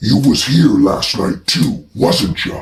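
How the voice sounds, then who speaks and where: A put-on, growling character voice moves very slowly, with very wide pitch swings. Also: man. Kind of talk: comic horror parody of old gangster film. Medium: comedy sketch. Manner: menacing, mocking, streetwise slang.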